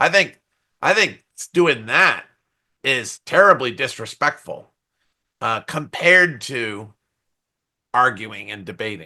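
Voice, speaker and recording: This bright, sharp voice moves at a very slow pace with long, frequent pauses, very wide pitch swings and big swings in loudness. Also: man, medium pitch for a man, quiet background. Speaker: software testing expert. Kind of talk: podcast interview. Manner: animated.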